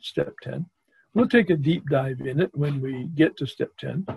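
A man talks with ordinary pitch variation. His voice is somewhat breathy. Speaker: workshop facilitator. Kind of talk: lecture. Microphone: video call.

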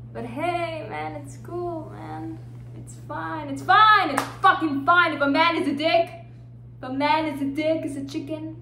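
Amid light background noise and audible room echo, a woman speaks at a fairly slow pace with big swings in loudness. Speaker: actor doing self-tape monologues. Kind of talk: dramatic monologue performance. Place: home room. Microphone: phone near.

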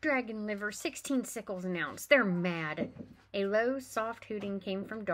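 Pitch variation of an ordinary kind, in a natural reading voice

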